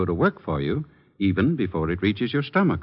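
His pitch leaps and drops across a very wide range. This man speaks very fast. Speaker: radio commercial announcer. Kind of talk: scripted radio advertisement.

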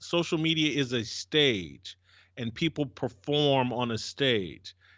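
A man talks with an American accent and a fairly high pitch. He has an ordinary speaking voice with ordinary pitch variation. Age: 50s. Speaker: cultural commentator. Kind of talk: discussion on race relations.

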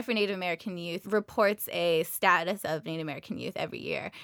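In a dry, close sound with no echo, a woman talks at a very fast pace with hardly any pauses and a bright, sharp tone. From Navajo Nation, Monument Valley. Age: 20s. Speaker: public service fellow. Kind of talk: radio interview. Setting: studio.

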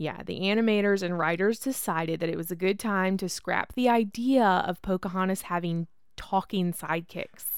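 A woman speaks at a moderate pace with medium pitch, ordinary pitch variation and hardly any pauses. It is an ordinary speaking voice on a very clean recording with a silent background. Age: 30s. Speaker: podcast host. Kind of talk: casual chat.

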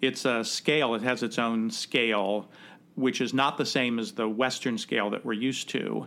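In a Midwestern American accent, a man speaks at a moderate pace and medium pitch, his tone bright and sharp and his intonation monotone and flat. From US Midwest, Cincinnati. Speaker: theatre director and podcast host. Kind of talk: casual interview chat.

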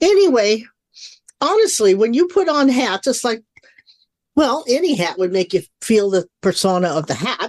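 The speech moves at a moderate pace, with very wide pitch swings and long, frequent pauses. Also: woman, fairly high pitch for a woman. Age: 70s. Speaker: psychic radio show host. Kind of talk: casual chat.

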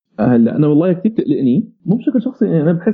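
Very wide pitch swings from a man talking at a fairly quick clip. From Syria, Homs (childhood in Saudi Arabia). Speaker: digital media manager and tech commentator. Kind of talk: casual radio interview.

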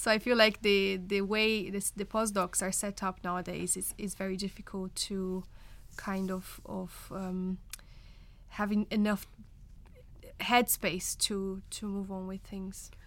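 With a Portuguese accent, a woman talks at a fairly slow pace and medium pitch, in monotone, flat intonation. Her loudness swings widely, and the recording is very clean with a silent background. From Brazil. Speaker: nurse turned research fellow. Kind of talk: panel discussion.

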